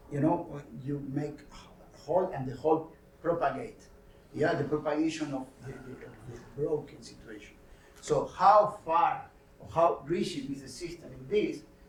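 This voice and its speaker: A man with a non-native accent speaks at a moderate pace, fairly high in pitch and somewhat breathy. His long, frequent pauses carry audible room echo. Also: ordinary pitch variation. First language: not English. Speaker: scientist presenting research. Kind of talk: technical workshop lecture. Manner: halting, many hesitations and repeats.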